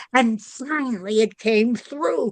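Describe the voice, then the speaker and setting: Very slowly, a woman talks at a fairly high pitch with ordinary pitch variation. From Boston, US New England. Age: 90s. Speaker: comedian. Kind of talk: interview.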